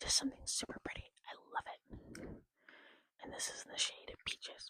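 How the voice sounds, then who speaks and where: A woman whispers at a fairly quick pace, her loudness swinging widely, in a dry, close recording with no echo. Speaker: makeup ASMR creator. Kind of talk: casual talk to camera, makeup collection show-and-tell. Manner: casual, chatty, conversational; lo-fi ASMR style.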